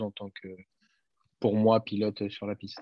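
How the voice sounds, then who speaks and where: A man speaks with a fairly low voice. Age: 20s. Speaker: racing driver. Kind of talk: interview. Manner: halting.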